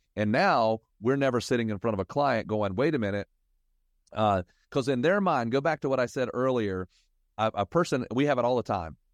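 Delivered in a normal speaking voice at a fairly quick pace, the speech has lively intonation and very even loudness, with a dry, close sound, no echo and a quiet background. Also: man, medium pitch for a man. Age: 50s. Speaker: financial advisor. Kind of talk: casual chat.

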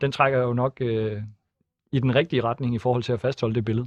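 A man talks in an ordinary speaking voice. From Denmark, Thisted (northern Jutland). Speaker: politician. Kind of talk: radio interview.

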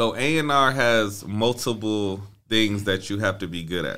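The tone is bright and sharp, with an American accent. Pitch variation is ordinary. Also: man. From Flint, Michigan. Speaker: record label A&R executive. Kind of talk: casual interview chat.

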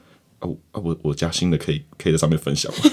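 Very fast and fairly even in intonation, a man talks at a very deep, low pitch. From Taiwan. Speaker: podcast co-host. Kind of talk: casual chat.

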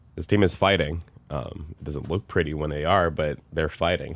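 A man speaks in a very deep, low voice with vocal fry. His pace is fairly quick. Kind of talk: sports talk analysis. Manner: casual, animated, disappointed.

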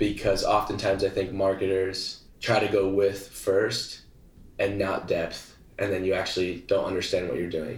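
Somewhat breathy speech at a moderate pace, in a monotone, flat intonation. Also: man, fairly low pitch for a man. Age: 20s. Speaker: entrepreneur and influencer. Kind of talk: interview conversation.

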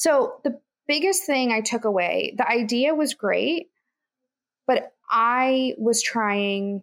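A high-pitched woman with lively intonation. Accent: American. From Kansas. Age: 20s. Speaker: entrepreneur and podcast host. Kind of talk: interview.

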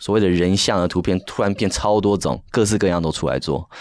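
A man with a fairly low pitch and a plain, everyday voice. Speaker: NFT project founder, designer. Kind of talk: casual interview chat.

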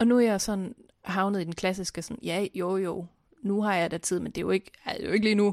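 A normal speaking voice at a fairly quick pace with fairly even intonation, dry and close with no echo, in a very clean recording with a silent background. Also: woman, medium pitch for a woman. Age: late 20s to 30s. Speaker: podcast co-host. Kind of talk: casual chat.

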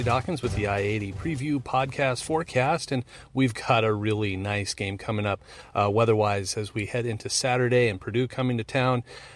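A man with a medium pitch, an ordinary speaking voice and a fairly quick pace over a quiet background. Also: ordinary pitch variation. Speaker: meteorologist. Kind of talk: weather report. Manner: brisk, informative, upbeat.

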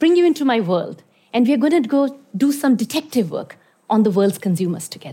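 A woman speaks at a fairly quick pace in a dark, mellow tone. Her voice is somewhat breathy, and her pitch swings very widely. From Iran (born in India). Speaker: consumer strategist. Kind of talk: talk to an audience.

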